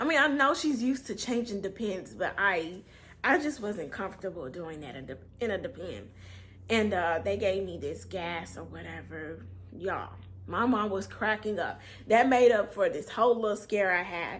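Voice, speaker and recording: A woman speaks at a medium pitch with lively intonation. Vocal fry runs through her voice. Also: big swings in loudness. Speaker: storyteller vlogger. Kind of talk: storytime monologue. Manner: casual, with many fillers.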